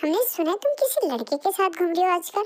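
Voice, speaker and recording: A woman performs a squeaky, put-on character voice at an extremely high pitch and a very fast pace. Her pitch swings very widely while her loudness stays very even. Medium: read story. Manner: stern, commanding.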